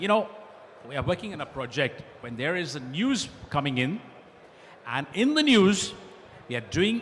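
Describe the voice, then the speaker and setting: With noticeable background noise around him, a man speaks at a moderate pace. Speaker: panelist and college lecturer. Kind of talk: panel discussion with slide presentation. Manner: loud.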